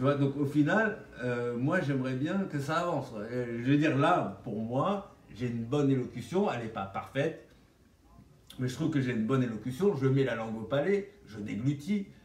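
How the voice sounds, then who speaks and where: A man talks at a moderate pace and medium pitch with lively intonation. The room echo is audible and the background noise is noticeable. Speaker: vlogger sharing orthodontic treatment. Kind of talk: casual vlog monologue. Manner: animated.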